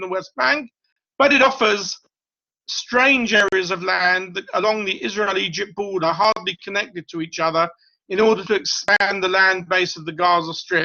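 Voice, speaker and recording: A man with a British accent speaks at a moderate pace in a high pitch, with ordinary pitch variation and big swings in loudness. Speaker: professor. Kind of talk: lecture.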